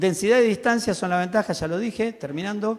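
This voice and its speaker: The speaker here is a man. His pitch varies in an ordinary way. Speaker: railway technical expert. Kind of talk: conference talk. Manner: animated.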